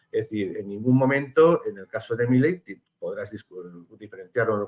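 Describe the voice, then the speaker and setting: Lively in intonation, a man talks at a moderate pace in a fairly high voice. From Spain. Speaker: political analyst, lawyer. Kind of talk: TV panel discussion. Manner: halting, many fillers.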